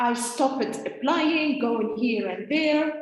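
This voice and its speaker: The speech comes at a very slow pace with ordinary pitch variation and audible room echo. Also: woman. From Tunisia. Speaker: think tank founder and speaker. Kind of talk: conference talk. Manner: hesitant, many fillers.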